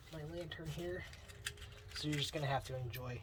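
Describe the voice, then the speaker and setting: Soft-spoken delivery over noticeable background noise. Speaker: vlogger. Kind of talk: casual vlog. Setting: outdoors at night. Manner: halting, many fillers; soft-spoken, quiet.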